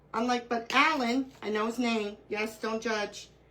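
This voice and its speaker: This woman speaks with an American accent in a bright, sharp, animated tone. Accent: New York accent, fading slightly. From Brooklyn, New York. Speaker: crafting livestreamer. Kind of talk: live craft tutorial chat.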